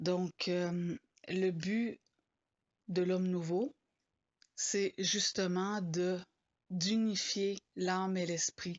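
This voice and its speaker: A woman at a medium pitch and a very slow pace, with fairly even intonation, very even loudness and long, frequent pauses. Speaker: spiritual blogger. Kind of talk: informal spoken talk. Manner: hesitant, many fillers.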